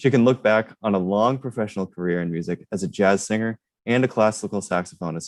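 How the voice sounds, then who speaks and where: Using a plain, everyday voice, a man with an American accent speaks at a moderate pace and a fairly low pitch. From US Northeast, Rhode Island. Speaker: student intern, panel moderator. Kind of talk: panel introductions. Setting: online livestream.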